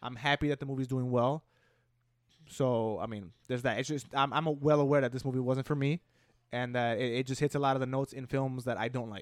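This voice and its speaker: A man with a plain, everyday voice talks at medium pitch and a fairly quick pace with fairly even intonation, recorded very cleanly against a silent background. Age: 20s. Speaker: video game podcast co-host. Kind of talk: casual chat.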